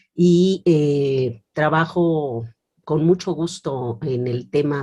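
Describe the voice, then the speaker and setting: A woman speaks in a very deep, low voice with a dark, mellow tone. Her pitch varies in an ordinary way. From Mexico, Morelia (Michoacán). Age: 50s. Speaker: philosophy professor and feminist writer. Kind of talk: interview. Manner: hesitant, many fillers.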